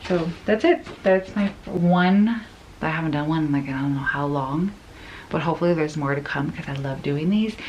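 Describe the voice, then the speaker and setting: A soft-spoken woman with a fairly low pitch talks at a moderate pace with ordinary pitch variation, and noticeable background noise is present. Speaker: lifestyle vlogger. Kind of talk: casual unboxing vlog.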